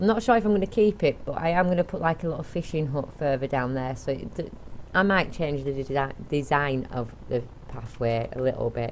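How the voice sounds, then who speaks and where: A woman's mumbling at a fairly quick pace, very deep and low in pitch with lively intonation, over noticeable background noise. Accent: English. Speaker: gaming YouTuber. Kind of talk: let's play commentary. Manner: casual, rambling with repetitions.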